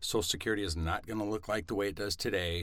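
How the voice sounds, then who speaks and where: A man speaks in a normal speaking voice, fairly low in pitch with ordinary pitch variation. The recording is very clean, with a silent background. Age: 50s. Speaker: financial advisor. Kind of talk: interview, casual chat.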